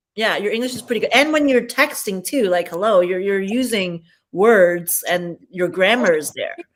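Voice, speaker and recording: A woman's medium-pitched voice carries lively intonation. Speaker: live stream host. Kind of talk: casual chat. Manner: fast.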